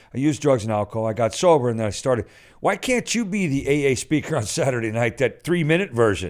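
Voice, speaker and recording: In a very clean recording with a silent background, a man at a medium pitch speaks fairly quickly with an animated tone and lively intonation. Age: 60s. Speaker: comedian and recovery speaker. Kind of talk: casual chat. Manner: halting.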